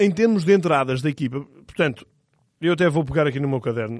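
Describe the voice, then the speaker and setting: A man's fairly high voice at a very fast pace with lively intonation, broken by long, frequent pauses. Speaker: football podcast co-host. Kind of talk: casual football analysis chat.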